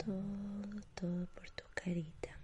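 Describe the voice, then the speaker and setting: A woman speaks at a very slow pace, somewhat breathy. Her tone is soothing and calm. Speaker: ASMR artist. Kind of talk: ASMR personal-attention roleplay, whispered, facial spa treatment. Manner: whispered, hushed, breathy and slow, with gentle diminutives; soothing, lulling, calm, reassuring tone.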